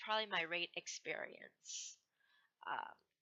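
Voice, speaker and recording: A woman speaks with a Hong Kong accent. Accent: noticeable Hong Kong accent in English. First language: Cantonese. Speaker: gamer vlogger, student. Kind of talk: casual self-introduction vlog. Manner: hesitant, with fillers and restarts.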